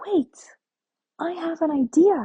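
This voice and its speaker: The speaker is a woman. She uses a put-on character voice. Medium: read story.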